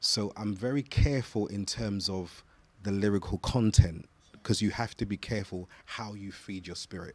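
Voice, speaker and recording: Someone with a British accent speaks at a moderate pace with fairly even intonation and big swings in loudness. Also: man, fairly low pitch for a man. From London, England. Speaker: gospel singer and voice teacher. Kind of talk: interview. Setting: studio. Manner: halting, repeats words.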